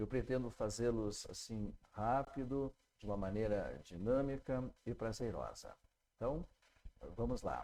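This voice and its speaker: Here a man speaks at a medium pitch with a dark, mellow tone. His pace is fairly slow, and his pitch varies in an ordinary way. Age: 60s. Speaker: spiritist teacher and pediatrician. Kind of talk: lecture with story retelling. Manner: halting, many fillers.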